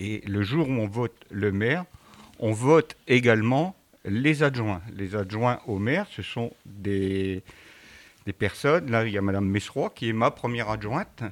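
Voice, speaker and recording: Speaking at a very slow pace, a man keeps a fairly low pitch with ordinary pitch variation. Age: 60s. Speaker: mayor. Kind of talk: interview answering schoolchildren.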